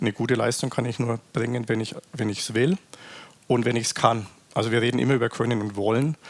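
A man talks fairly quickly at medium pitch, his intonation fairly even, while noticeable background noise carries on behind him. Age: 40s. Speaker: company executive. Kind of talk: interview.

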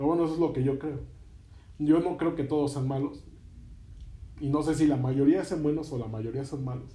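Amid audible room echo, a man speaks somewhat breathily in a fairly high pitch with a dark, mellow tone, fairly even intonation and long, frequent pauses. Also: moderate pace. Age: 20s. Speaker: podcast host. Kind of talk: interview.

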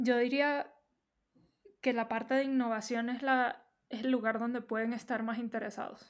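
On a very clean recording with a silent background, a woman speaks at a moderate pace. Her pitch is high and her intonation monotone and flat. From Venezuela. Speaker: UX researcher. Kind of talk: casual interview.

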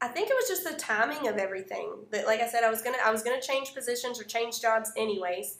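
Over noticeable background noise, a woman talks at a very fast pace. Her pitch is fairly high, and she leaves hardly any pauses. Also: ordinary pitch variation. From Kentucky, Meade County. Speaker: gym owner and CrossFit coach. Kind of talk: casual interview chat.

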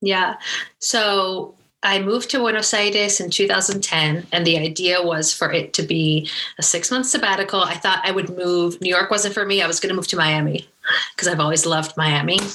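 In a plain, everyday voice, a woman speaks at a moderate pace and medium pitch with ordinary pitch variation. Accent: American. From New Jersey, US; high school in UK. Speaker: startup founder. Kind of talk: interview.

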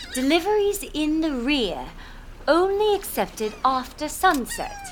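A female-sounding put-on character voice, extremely high-pitched and fairly slow, over clear background noise. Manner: seductive, eerie.

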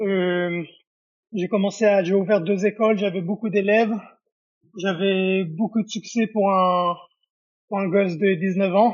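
A man with a high pitch speaks in a monotone, flat intonation at a very slow pace, leaving long, frequent pauses. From Israel. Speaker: professional MMA fighter. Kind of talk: interview.

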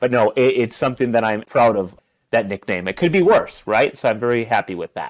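A fairly quick pace with ordinary pitch variation, in an Upper Peninsula Michigan accent, dry and close with no echo against a quiet background. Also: man, medium pitch for a man. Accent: Upper Midwest American (Yooper). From Upper Peninsula of Michigan. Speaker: teacher and youth worker. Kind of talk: interview.

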